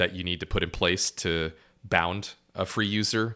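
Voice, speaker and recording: A man's bright, sharp tone. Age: 40s. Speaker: startup founder. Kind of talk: casual chat.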